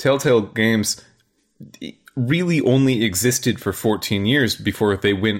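Here a man has an ordinary speaking voice. He talks at a moderate pace with lively intonation. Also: very clean recording, silent background. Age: 20s. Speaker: podcaster. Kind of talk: casual chat.

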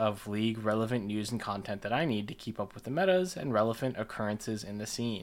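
A man uses an ordinary speaking voice, with medium pitch and ordinary pitch variation. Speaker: gaming podcast co-host. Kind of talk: casual chat.

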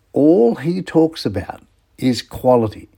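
Lively intonation and an enthusiastic tone in an Australian accent, on a very clean recording with a silent background. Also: man. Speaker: radio host. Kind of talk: radio DJ patter, upbeat promo-style chatter with catchphrases. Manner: animated; repetitive, enthusiastic, jovial and chummy.

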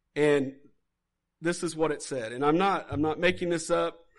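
A man with an American accent at a moderate pace, ordinary pitch variation and a quiet background. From US Midwest, Kansas. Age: 50s. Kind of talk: sermon. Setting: church.

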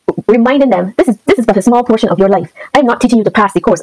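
A woman speaks very fast in a fairly high voice. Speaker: teacher. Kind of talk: casual interview.

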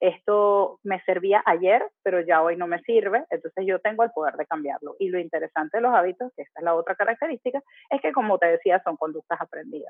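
A woman talks in an unremarkable speaking voice at a medium pitch. Her intonation is lively and her pace fairly quick. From Venezuela. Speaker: habits coach. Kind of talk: casual interview.

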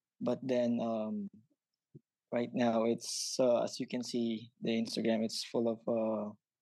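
Speaking at a very slow pace with long, frequent pauses, a man has a dark, mellow tone, medium pitch and a monotone, flat intonation. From Philippines. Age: 30s. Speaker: artist and toy maker. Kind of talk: interview. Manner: halting.

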